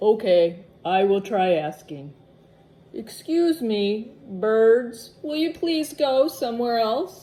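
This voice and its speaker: A woman's put-on character voice at fairly high pitch and a very slow pace. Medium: read story. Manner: worried, fretful.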